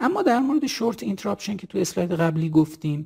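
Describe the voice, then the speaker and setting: A man's voice with a dark, mellow tone moves through very wide pitch swings. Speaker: cardiologist. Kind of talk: lecture. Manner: formal.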